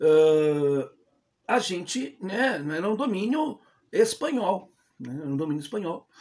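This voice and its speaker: This man has a high pitch and lively intonation. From Brazil, Rio Grande do Sul (Porto Alegre area). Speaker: history channel host. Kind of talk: informal history talk to camera. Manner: casual, many fillers and false starts.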